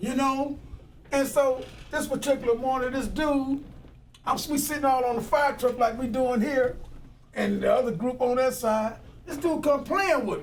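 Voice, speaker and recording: Against noticeable background noise, a man with an extremely high pitch talks at a moderate pace with ordinary pitch variation. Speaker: former firefighter and activist. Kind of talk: oral history interview. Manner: casual storytelling.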